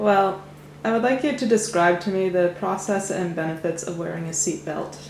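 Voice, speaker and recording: A woman speaks at a moderate pace and medium pitch. Her pitch varies in an ordinary way over noticeable background noise. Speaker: interviewer.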